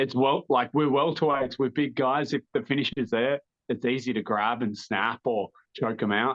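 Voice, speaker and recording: The speaker has an Australian accent and a fairly even intonation. The pace is moderate. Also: man. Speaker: mixed martial arts fighter. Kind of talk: interview.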